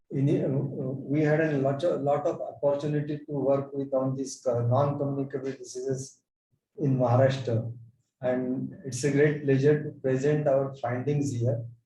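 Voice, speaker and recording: Over audible room echo, a man with a fairly high pitch and a somewhat breathy voice speaks at a moderate pace in a flat, monotone intonation. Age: 70s. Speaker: physician. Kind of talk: conference presentation.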